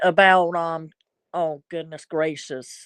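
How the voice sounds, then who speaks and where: In a Southern US accent, a woman speaks at a very slow pace against a quiet background. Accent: Southern US accent, noticeable. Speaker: live streamer. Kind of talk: casual live stream chat. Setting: live stream. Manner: rambling, halting with repetitions.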